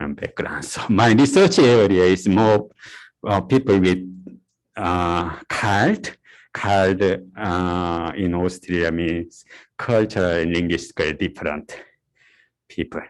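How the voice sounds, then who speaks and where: A man with a Korean accent speaks at a very deep, low pitch with ordinary pitch variation. He goes very slowly with long, frequent pauses against a quiet background. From South Korea. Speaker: university lecturer. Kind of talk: lecture. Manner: halting, many fillers.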